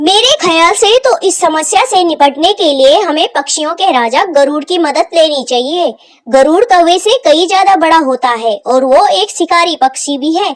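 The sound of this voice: A woman puts on a cartoonish character voice at an extremely high pitch. Her intonation is lively and her pace moderate.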